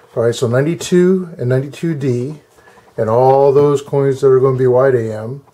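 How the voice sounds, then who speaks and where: Fairly quick talk from a man, noticeable noise behind it. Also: medium pitch for a man, ordinary pitch variation. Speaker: coin collector. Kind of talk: tutorial. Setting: at home desk. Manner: halting; loud.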